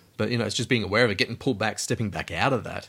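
In a very clean recording with a silent background, a man speaks at a fairly low pitch with an Australian accent. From Alice Springs, central Australia. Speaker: podcast co-host, PhD student. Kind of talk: casual chat.

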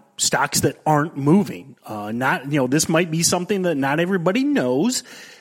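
A man's fairly high, normal speaking voice, with lively intonation at a moderate pace. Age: 40s. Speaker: trading podcast host. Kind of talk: casual chat.

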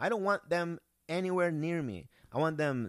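This is a man's voice. He speaks with a Spanish accent. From Peru. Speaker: comedian. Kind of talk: casual chat.

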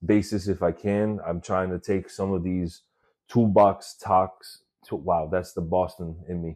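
A man with an American accent speaks in a very deep, low voice of dark, mellow tone, at a fairly slow pace with fairly even intonation against a quiet background. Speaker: podcast host and escalator repair technician. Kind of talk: casual solo podcast monologue. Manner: casual, filler-heavy.

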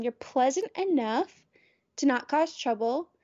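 A woman speaks with a high voice. Her intonation is lively. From US South. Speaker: podcaster. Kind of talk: casual chat. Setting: video call.

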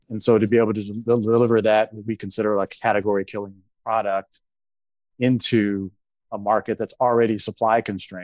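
A man talks at a fairly quick pace in a fairly low pitch, his intonation flat and monotone, with a dry, close sound and no echo. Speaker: real estate investor relations executive. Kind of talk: panel discussion.

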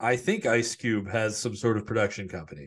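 A man speaks with a plain, everyday voice at a moderate pace. The background is quiet. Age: 30s. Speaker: sports podcast co-host. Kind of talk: casual chat.

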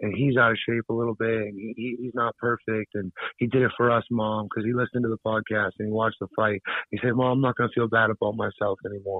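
The voice rushes along at a very fast pace in a monotone, flat delivery. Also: man, medium pitch for a man. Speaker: bare-knuckle fighter. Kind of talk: casual interview. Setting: phone call.

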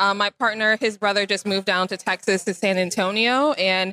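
Her tone bright and sharp, a woman with an American accent talks at a fairly quick pace in a dry, close sound with no echo. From Chicago. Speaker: software developer. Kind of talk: casual interview. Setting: trade expo floor.

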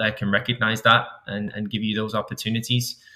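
A man with a Manchester accent talks at a very fast pace. His fairly low voice stays flat and monotone. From England, Manchester. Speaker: high school soccer coach. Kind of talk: interview. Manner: halting, many repetitions.

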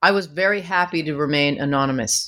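A woman with a Canadian accent and an unremarkable speaking voice talks at a moderate pace with ordinary pitch variation. The recording is very clean, with a silent background. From Canada, Vancouver. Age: 50s. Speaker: author and former music manager. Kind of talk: interview.

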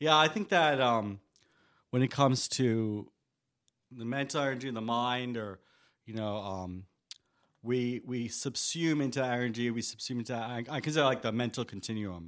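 A man speaks with a New York accent and ordinary pitch variation, pausing long and often. The recording is very clean, with a silent background. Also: medium pitch for a man, moderate pace. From New York, Staten Island. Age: 40s. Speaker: radio host. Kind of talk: casual chat. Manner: halting.

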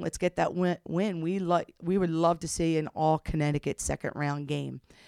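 A woman with an American accent and an ordinary speaking voice talks at a moderate pace in a very clean recording with a silent background and a dry, close sound with no echo. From US, South Jersey. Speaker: women's college basketball head coach. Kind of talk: interview.

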